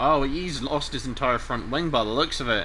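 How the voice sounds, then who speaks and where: A man talks at a moderate pace and fairly high pitch over noticeable background noise. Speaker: sim racing commentator. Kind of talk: live commentary. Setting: live stream. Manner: animated.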